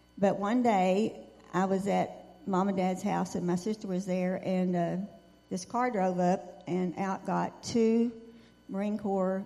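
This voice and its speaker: A woman with a Texan accent speaks at a fairly slow pace and medium pitch. Her tone is dark and mellow, her intonation fairly even. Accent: Texan Southern. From West Texas and East Texas. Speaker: veteran's wife. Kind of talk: testimony.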